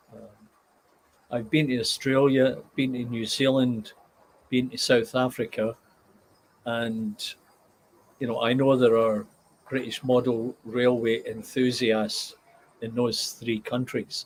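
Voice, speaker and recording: With a medium pitch, a man speaks very slowly in a monotone, flat intonation, his loudness swinging widely between long, frequent pauses. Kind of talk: casual live stream talk to viewers.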